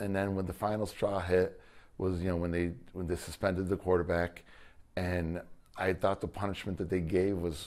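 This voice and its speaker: The background is quiet as a man talks at a moderate pace. His intonation is monotone and flat. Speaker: former high school football coach. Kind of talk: interview answer. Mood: earnest, frustrated. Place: office. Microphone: lapel.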